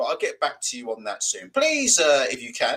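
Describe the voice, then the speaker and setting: A man with a British accent, talking at a fairly quick pace. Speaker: boxing channel host. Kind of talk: live stream chat.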